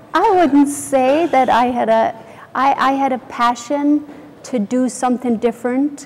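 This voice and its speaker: Over noticeable background noise, a woman talks at a fairly slow pace with a high pitch, ordinary pitch variation and very even loudness. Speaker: company founder. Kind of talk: interview.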